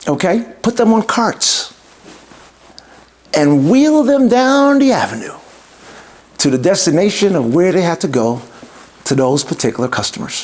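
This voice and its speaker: A man with a New York accent at a moderate pace, high in pitch with very wide pitch swings, very even loudness and long, frequent pauses, over noticeable background noise. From New York City (Bronx). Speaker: entrepreneur and podcast host. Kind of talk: podcast introduction monologue. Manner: formal.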